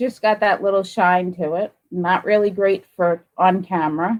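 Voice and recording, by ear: Fairly low for a woman, this voice moves at a moderate pace with fairly even intonation.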